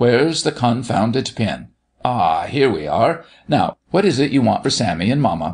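In a put-on character voice, a man goes at a fairly slow pace, his slightly husky edge riding big pitch swings. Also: medium pitch for a man.

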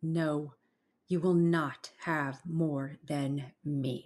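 This put-on character voice sits at a low-to-middle pitch, sounds guttural, and moves at a very slow pace. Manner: furious.

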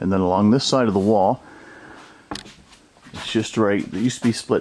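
Very fast male speech over light background noise. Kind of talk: casual walkthrough narration. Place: home room. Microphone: phone near.

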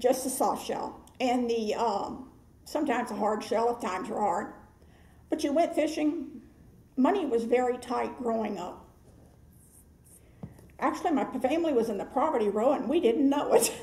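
Speech in a Southern US accent carries a dark, mellow tone and ordinary pitch variation, at a moderate pace with long, frequent pauses. Audible room echo fills the recording. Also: woman, high pitch for a woman. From Florida, Hernando County. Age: 70s. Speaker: oral history interviewee. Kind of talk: interview answer. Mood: warm, nostalgic.

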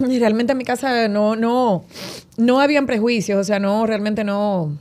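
A woman speaks in a normal speaking voice, her fairly high pitch carried at a moderate pace. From Dominican Republic, San Francisco de Macorís. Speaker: radio host and actress. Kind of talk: casual interview chat.

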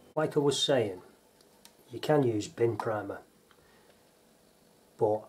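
At a very slow pace, a man with a British accent speaks at medium pitch with ordinary pitch variation. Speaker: painter and decorator. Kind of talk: tutorial.

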